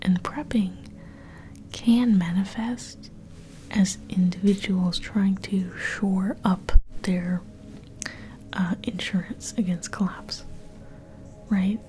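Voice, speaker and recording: Soft-spoken, playful whispering at a very slow pace, with long, frequent pauses and noticeable background noise. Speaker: ASMR creator. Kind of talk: intellectual ASMR ramble to camera. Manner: soft-spoken, whispery, playful mock-scholarly.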